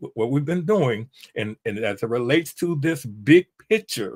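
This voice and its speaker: A dry, close sound with no echo, a fairly slow pace and very wide pitch swings. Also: man. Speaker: Bible teacher. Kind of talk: Bible lesson lecture. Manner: halting, many fillers and restarts.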